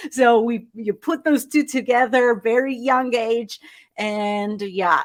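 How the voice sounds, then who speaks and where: With an animated tone, a woman speaks at a fairly slow pace on a very clean recording with a silent background. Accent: slight Argentine. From Argentina. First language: Spanish. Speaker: life coach. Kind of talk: interview.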